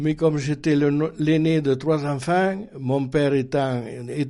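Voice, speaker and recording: Speaking at a very slow pace, a man uses a dark, mellow tone and ordinary pitch variation. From France, Dordogne (Périgord). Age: 80s+. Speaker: Resistance veteran. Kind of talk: oral history interview. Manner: halting, with frequent hesitations.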